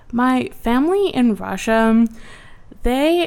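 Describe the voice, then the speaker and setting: Captured in a very clean recording with a silent background, a woman with an American accent speaks with ordinary pitch variation. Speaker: student opinion columnist. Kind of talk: interview. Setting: studio.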